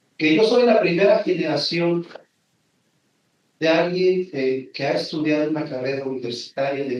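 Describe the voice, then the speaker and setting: A man speaks with a Michoacán accent. His voice is fairly high, with ordinary pitch variation. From Mexico, Michoacán (Janitzio island). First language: Purépecha (speaking Spanish). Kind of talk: conference talk.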